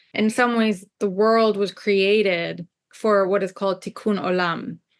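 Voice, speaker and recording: A woman speaks at a medium pitch with an Israeli accent against a quiet background. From Israel, Jerusalem, moved to US at ten. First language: Hebrew. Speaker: scholar and spiritual teacher. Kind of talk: podcast interview.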